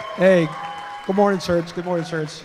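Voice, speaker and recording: A man with a Jamaican accent speaks high for a man in fairly even intonation, with audible room echo and crowd noise behind him. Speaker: guest preacher. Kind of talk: sermon. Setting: church with congregation.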